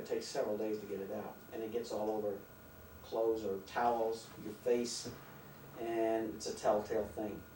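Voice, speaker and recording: Fairly quick male speech in an American accent, noticeable noise behind it. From South Carolina. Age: 50s. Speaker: air force veteran. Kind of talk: interview answer. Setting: home video recording.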